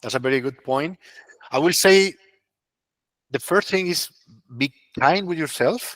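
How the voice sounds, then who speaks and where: Pausing long and often, a man with a Spanish accent speaks with lively intonation. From Colombia. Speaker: consultant and webinar speaker. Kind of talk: webinar talk with Q&A. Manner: halting, repeats words.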